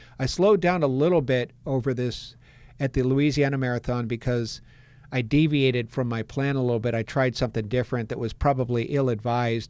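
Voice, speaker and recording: In a very clean recording with a silent background, a normal speaking voice moves at a fairly quick pace with ordinary pitch variation. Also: man, medium pitch for a man. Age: 60s. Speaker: marathon runner and running coach. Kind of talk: podcast interview.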